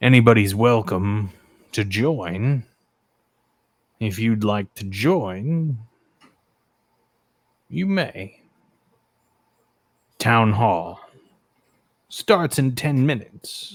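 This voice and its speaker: Using a put-on character voice at medium pitch, a man talks at a very slow pace with lively intonation and long, frequent pauses. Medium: actual play. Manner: curt, detached.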